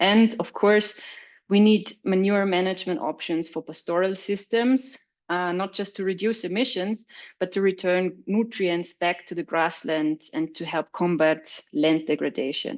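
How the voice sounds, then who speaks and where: Speaking at a fairly slow pace, a woman with a German accent has a medium pitch and ordinary pitch variation. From Austria. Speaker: agricultural researcher. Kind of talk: webinar presentation. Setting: online webinar. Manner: some hesitations and repetitions.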